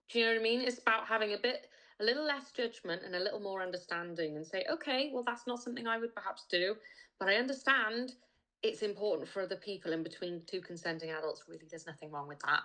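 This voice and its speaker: Talking very fast with a Welsh accent, a woman uses a bright, sharp tone, a fairly high pitch and lively intonation. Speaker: sex worker. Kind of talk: casual chat. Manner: emphatic.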